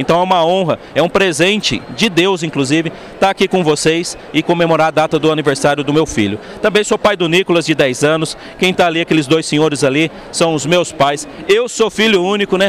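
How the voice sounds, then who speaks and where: A man talks at a fairly quick pace and high pitch, with very even loudness, ordinary pitch variation and noticeable background noise. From interior of São Paulo state, Brazil (Assis). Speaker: motivational speaker on leadership. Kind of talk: keynote talk. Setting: event stage, audience on headphones. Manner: animated, engaging the audience.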